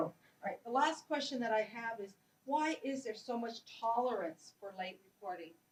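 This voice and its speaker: With lively intonation, a woman speaks in a fairly high pitch. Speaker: conference chair and moderator, professor. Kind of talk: conference Q&A moderation. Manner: loud. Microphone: mic not working, switching mics, echo.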